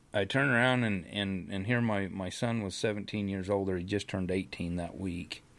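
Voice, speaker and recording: This man has an ordinary speaking voice and a fairly low pitch, with an American accent. His pitch varies in an ordinary way, and he leaves hardly any pauses. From Idaho, US West. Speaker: horse trainer and rancher. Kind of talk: interview, personal storytelling. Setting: studio.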